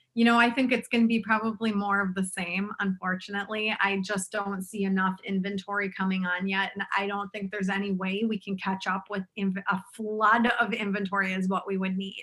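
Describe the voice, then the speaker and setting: Woman at medium pitch with a strong Minnesotan accent, fairly quick with hardly any pauses, monotone and flat, amid noticeable background noise. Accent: thick Minnesotan. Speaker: realtor. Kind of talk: interview.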